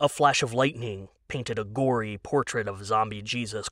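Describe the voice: The delivery is plain. Words are read aloud.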